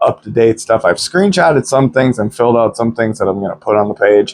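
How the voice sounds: A man talks at a fairly quick pace. His voice is nasal and medium in pitch.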